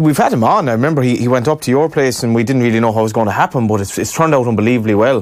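Against a quiet background, a man with an Irish accent talks at a very fast pace with hardly any pauses, ordinary pitch variation and very even loudness. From Ireland. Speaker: radio sports host. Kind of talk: interview. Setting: studio. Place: studio. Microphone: studio mic.

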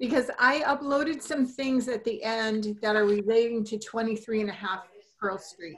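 A woman in a plain, everyday voice, at a fairly slow pace with lively intonation. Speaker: commission member. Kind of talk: public meeting. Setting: video call.

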